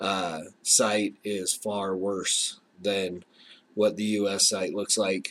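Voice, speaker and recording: A fairly low male voice with an American accent, very slow and monotone, the intonation flat. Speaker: podcast host. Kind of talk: casual podcast talk. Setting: relative's basement while on vacation. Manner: soft-spoken, talking quieter.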